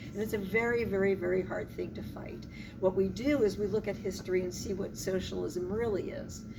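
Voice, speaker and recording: With an American accent, a woman speaks at a medium pitch with fairly even intonation, amid audible room echo and music in the background. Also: fairly quick pace. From Philadelphia, US Northeast. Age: old. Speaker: civil rights activist. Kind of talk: interview.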